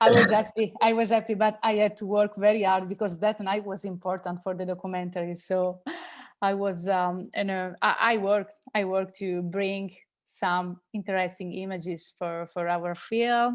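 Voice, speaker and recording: A woman speaks in an Italian accent at a moderate pace. Her intonation is monotone and flat. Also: medium pitch for a woman, quiet background. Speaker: film director. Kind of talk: interview. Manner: halting.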